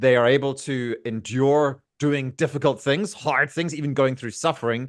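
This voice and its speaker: In a plain, everyday voice, a man talks at a moderate pace with fairly high pitch and fairly even intonation over a quiet background. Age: 40s. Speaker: podcast host. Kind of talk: casual chat.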